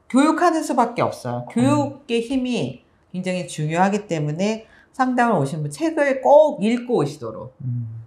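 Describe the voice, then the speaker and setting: A woman's somewhat breathy voice at a fairly slow pace, with very wide pitch swings. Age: 50s. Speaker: pharmacist and author, cancer survivor; guest. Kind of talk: interview. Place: studio. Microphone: lapel.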